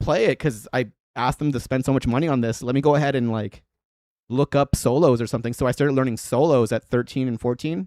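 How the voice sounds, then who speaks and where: A man talks at a very fast pace in an animated tone, his voice at a medium pitch with ordinary pitch variation. The recording is very clean with a silent background and a dry, close sound with no echo. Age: 30s. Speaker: live-streaming guitarist. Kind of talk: casual live-stream chat.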